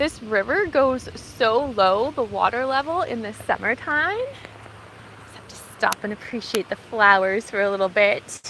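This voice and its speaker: Fairly high-pitched and lively in intonation, a woman speaks at a fairly slow pace with hardly any pauses. Her loudness swings widely, and there is noticeable background noise. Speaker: gardening vlogger. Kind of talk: live walking vlog. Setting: outdoors, forest park. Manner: soft-spoken.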